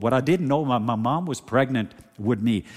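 A man with a Norwegian accent speaks in an animated tone at a medium pitch. His pace is moderate, with ordinary pitch variation. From Norway. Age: 50s. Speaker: preacher. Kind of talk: sermon. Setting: church.

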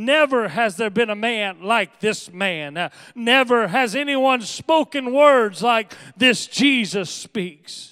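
A raised, projected voice with a bright, sharp tone, very slow in pace, with ordinary pitch variation, on a very clean recording with a silent background. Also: man, extremely high pitch for a man. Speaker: pastor. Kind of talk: sermon. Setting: church. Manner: earnest, preacherly, exhorting; urgent, rhetorical questions.

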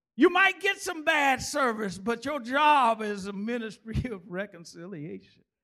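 A raised, projected, animated voice with a bright, sharp tone, very wide pitch swings, a fairly slow pace and hardly any pauses. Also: man, extremely high pitch for a man. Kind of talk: sermon. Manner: animated, call-and-response preaching with humor; fervent, exhorting, rhythmic pulpit delivery.

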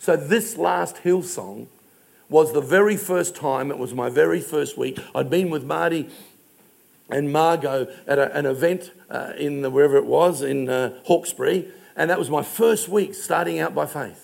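A fairly high-pitched man with an Australian accent, lively intonation and a moderate pace, with audible room echo. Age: 60s. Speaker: pastor. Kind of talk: sermon.

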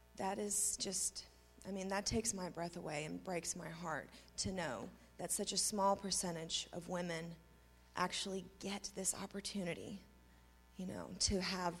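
The speech carries an American accent and vocal fry. The intonation stays fairly even. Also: woman. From US, Tulsa (adopted from Russia at six). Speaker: recovering addict. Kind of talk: personal testimony. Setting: church stage with congregation.

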